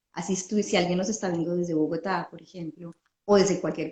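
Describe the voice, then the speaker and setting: A woman speaks in a plain, everyday voice at a fairly low pitch with fairly even intonation. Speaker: podcast host. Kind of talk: interview.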